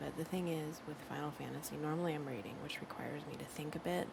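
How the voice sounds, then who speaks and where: Over noticeable background noise, a soft-spoken woman with a very deep, low pitch speaks with ordinary pitch variation. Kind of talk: soft-spoken ASMR gameplay talk. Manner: chatty.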